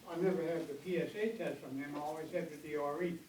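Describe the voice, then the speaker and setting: A man speaks at a very fast pace and a fairly high pitch. Noticeable background noise and audible room echo fill the recording. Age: 80s+. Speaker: audience member asking questions. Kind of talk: Q&A at a health panel. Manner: halting.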